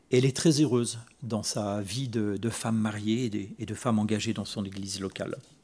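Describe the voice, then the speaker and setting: A man speaks at a fairly low pitch with fairly even intonation. His tone is dark and mellow. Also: moderate pace. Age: 60s. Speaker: preacher. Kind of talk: sermon. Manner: halting, with repetitions.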